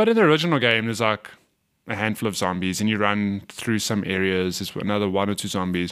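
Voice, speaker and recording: A man with an unremarkable speaking voice and medium pitch talks at a fairly quick pace on a very clean recording with a silent background. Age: 30s. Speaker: gaming podcast co-host. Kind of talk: casual chat.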